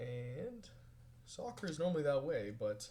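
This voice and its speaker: The speaker is male. There is a somewhat breathy quality to his voice. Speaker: vlogger. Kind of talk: casual video journal. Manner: fast.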